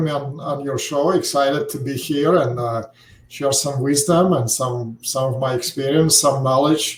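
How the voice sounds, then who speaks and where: Here a man talks with a Russian accent. His pitch is fairly high, with ordinary variation. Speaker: financial services founder, retirement account expert. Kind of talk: podcast interview. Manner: many filler hesitations.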